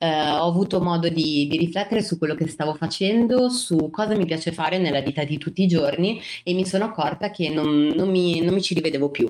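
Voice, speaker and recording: The voice moves at a fairly quick pace with ordinary pitch variation and very even loudness. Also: woman, fairly low pitch for a woman. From Genoa, Liguria, northern Italy. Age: 20s. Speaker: teacher, former communications worker. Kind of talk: interview conversation. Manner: halting, with fillers and repetitions.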